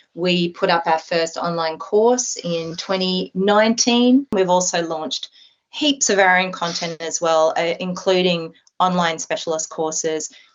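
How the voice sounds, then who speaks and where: Fairly slow speech in a woman's medium pitch. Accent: Australian. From Australia. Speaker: optometrist. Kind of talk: interview.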